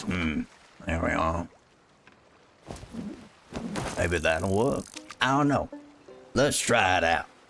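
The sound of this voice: A man's gravelly, put-on character voice at a very deep, low pitch, fairly slow with long, frequent pauses and music in the background.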